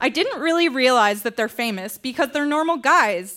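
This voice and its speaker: In a raised, projected voice, a woman with a Canadian accent speaks at a high pitch with very wide pitch swings. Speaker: reader at live storytelling show. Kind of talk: reading aloud. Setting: stage with audience.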